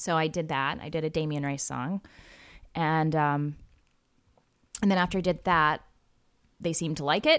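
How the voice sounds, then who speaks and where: A woman with an American accent speaks at a very deep, low pitch with fairly even intonation. She leaves long, frequent pauses. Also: moderate pace. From US Midwest, Missouri Ozarks. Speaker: musical theatre actress and singer. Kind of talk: casual interview.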